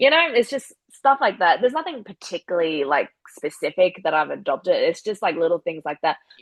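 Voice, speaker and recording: A woman with a strong Australian accent talks at a fairly quick pace with hardly any pauses and very wide pitch swings. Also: medium pitch for a woman. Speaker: professional wrestler. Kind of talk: casual chat. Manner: animated.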